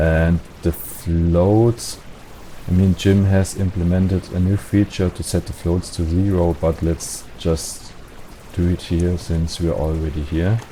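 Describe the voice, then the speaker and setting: Through noticeable background noise, a man with a non-native accent speaks at a fairly slow pace in a very deep, low pitch with monotone, flat intonation. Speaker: game modding tutorial creator. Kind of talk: tutorial. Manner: hesitant, many fillers.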